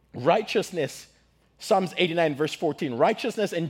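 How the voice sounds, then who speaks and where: A man speaks with vocal fry. His pace is moderate. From Zimbabwe. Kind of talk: sermon. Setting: church with audience. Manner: animated.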